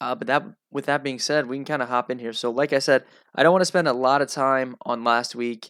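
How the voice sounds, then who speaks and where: A man speaks at a medium pitch with ordinary pitch variation, his voice dry and close with no echo. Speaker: sports betting analyst and show host. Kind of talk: solo sports analysis video. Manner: casual, frequent filler words.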